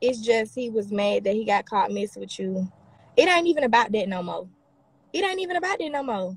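Quick-paced and fairly high in pitch, a woman's voice ranges through very wide pitch swings, the sound dry with no echo. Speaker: social media personality on live stream; livestreamer. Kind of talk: live stream reading and replying to comments; casual livestream chat answering comments. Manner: heated, combative. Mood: defensive, irritated. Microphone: phone near.

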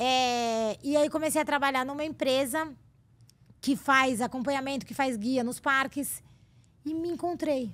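Speaking fairly slowly with long, frequent pauses, a woman keeps a high pitch and fairly even intonation. The recording is very clean, with a silent background. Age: 40s. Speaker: theme park guide and former TV producer. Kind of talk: casual interview chat.

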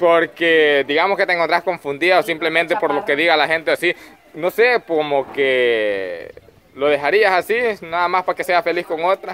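A man speaks high-pitched at a moderate pace. His pitch variation is ordinary, with light background noise. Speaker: host interviewer. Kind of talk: casual questioning of group. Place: farm machine. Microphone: phone near.

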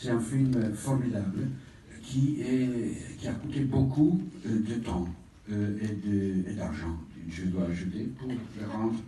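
Room echo is audible, along with light background noise. The man's pitch varies in an ordinary way. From Italy. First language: Italian (speaking French). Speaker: film institute president; presenter. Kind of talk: presentation speech. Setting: stage with audience. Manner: halting. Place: hall. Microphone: pa.

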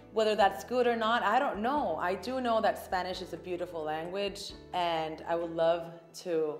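A woman's medium-pitched voice at a moderate pace with ordinary pitch variation, audible room echo and faint background music. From Puerto Rico. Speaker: actress and TV host. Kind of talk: interview answer. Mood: thoughtful, calm. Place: studio.

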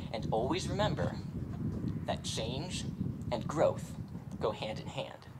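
With noticeable noise in the background, a man delivers his words at a fairly slow pace. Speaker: speaker. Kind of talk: graduation speech. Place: stadium. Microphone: podium.

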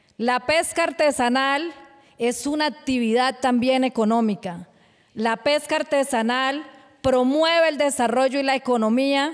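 A woman's high-pitched voice at a fairly slow pace, with ordinary pitch variation. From Colombia, Barrancabermeja (Magdalena Medio); Colombia. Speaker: fisherwoman and human rights activist. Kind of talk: award acceptance speech. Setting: award ceremony. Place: stage. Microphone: podium.

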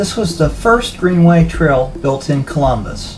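Fairly slow speech over music in the background. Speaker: trail guide narrator. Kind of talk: travel narration.

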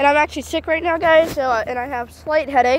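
There is noticeable background noise, and the sound is dry with no echo. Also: woman. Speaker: railfan vlogger. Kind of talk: casual vlog chat. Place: street. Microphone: phone near.

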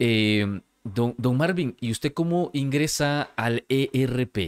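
Lively intonation marks a man's medium-pitched speech, heard as a dry sound with no echo over a quiet background. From El Salvador, San Salvador. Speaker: podcast host. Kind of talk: interview. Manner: halting, repeats words. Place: studio. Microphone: studio mic.

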